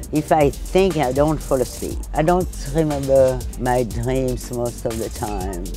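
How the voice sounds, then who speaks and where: Music sounds behind the voice. The delivery is very slow. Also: woman. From France. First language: French. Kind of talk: interview answer.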